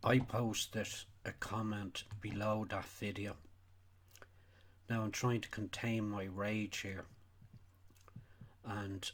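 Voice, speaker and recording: In a Donegal accent, a man speaks at a very slow pace and fairly low pitch, with monotone, flat intonation and long, frequent pauses. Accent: Irish, Donegal. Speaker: sheep farmer. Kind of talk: casual talk to camera.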